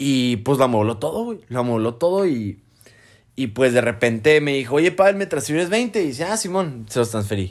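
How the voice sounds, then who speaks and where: A man talks at a moderate pace in a medium pitch. His voice makes very wide pitch swings. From Mexico. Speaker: doctor. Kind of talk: casual chat. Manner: casual, laughing.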